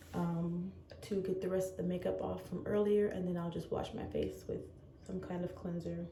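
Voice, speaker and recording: With noticeable background noise and audible room echo, a woman speaks quietly at a moderate pace. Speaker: lifestyle vlogger. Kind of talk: casual vlog talk. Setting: bathroom at home. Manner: quiet, hushed.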